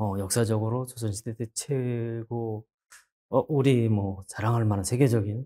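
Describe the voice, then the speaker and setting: The voice is dark and mellow, monotone and flat, at a very slow pace. The sound is dry and close, with no echo. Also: man. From rural South Korea. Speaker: poet. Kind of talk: interview. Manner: halting, many fillers.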